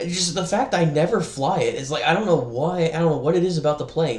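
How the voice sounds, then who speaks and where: A man's fairly high voice with an American accent, over noticeable background noise. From US South. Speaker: gaming streamer. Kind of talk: casual gaming chat.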